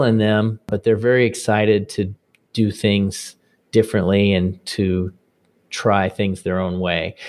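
Over a quiet background, a man with a plain, everyday voice and a fairly low pitch speaks at a fairly slow pace with ordinary pitch variation. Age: 40s. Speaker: father of a large family. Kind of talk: interview.

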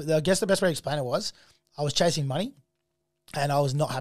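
An animated man with an Australian accent, fairly high pitch and ordinary pitch variation, talking at a very fast pace in a very clean recording with a silent background. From Australia, Melbourne area. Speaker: artist manager and festival founder. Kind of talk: casual interview chat.

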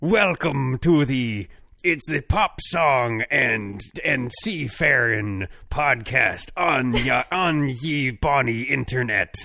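Speaking at a very slow pace, a man uses a put-on character voice at a medium pitch. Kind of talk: podcast intro. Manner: playful, mock-nautical.

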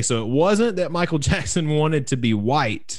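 In a strong Southern US accent, the speaker goes at a moderate pace. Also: man. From US South, South Carolina. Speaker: podcast co-host, drummer. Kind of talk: casual chat. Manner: halting.

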